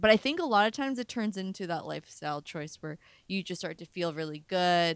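Recorded very cleanly over a silent background, a woman speaks at a medium pitch with lively intonation. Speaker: podcast host. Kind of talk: casual chat. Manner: soft-spoken.

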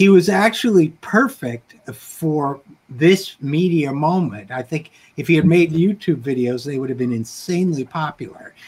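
An unremarkable speaking voice, this man's sits fairly high in pitch, with lively intonation at a moderate pace. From upstate New York. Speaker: political talk show host, writer. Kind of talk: casual conversation.

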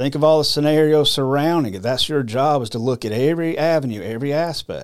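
In an American accent, a man with a fairly high voice talks at a very fast pace with ordinary pitch variation and hardly any pauses. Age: 50s. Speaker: podcast host. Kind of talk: casual monologue.

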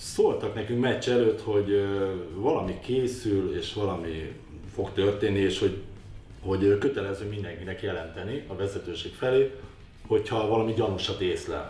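At a moderate speed and with normal pitch movement, a man talks while audible room echo rings around him. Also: fairly low pitch for a man. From Hungary, Budapest. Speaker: former footballer. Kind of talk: interview.

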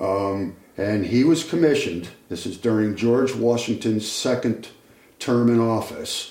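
In a New England accent, a man with a medium pitch speaks at a fairly slow pace with ordinary pitch variation. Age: 70s. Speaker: retired carpenter and ship model builder. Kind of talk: casual chat.

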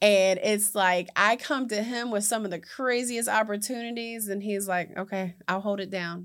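In a normal speaking voice with an American accent, a woman speaks at a moderate pace and medium pitch with fairly even intonation and hardly any pauses, on a very clean recording with a silent background. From West Virginia, US. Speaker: entrepreneur and community advocate. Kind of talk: interview, personal testimony.

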